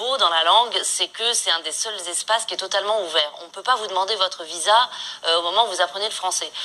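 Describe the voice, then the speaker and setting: A woman's medium-pitched voice with a slight Moroccan accent, at a fairly quick pace over noticeable background noise. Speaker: author. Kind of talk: interview.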